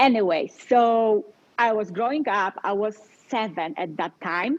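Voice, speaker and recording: A woman with a Polish accent talks at a fairly slow pace, her fairly high voice carrying lively intonation. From Poland. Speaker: life coach. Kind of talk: interview.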